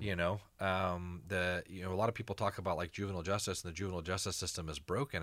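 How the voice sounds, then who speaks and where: A man's fairly low voice is heard on a very clean recording against a silent background. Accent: American. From East Texas, Allen. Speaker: chef and nonprofit founder. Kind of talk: interview conversation. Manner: halting, many repeated words and fillers.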